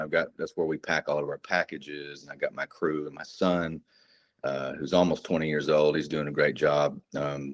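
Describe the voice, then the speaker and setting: A very deep, low-pitched man with a Texan accent at a moderate pace, in a dry, close sound with no echo. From North Texas. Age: 40s. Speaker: combat veteran and precious metals dealer. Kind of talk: casual interview chat. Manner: halting, many fillers.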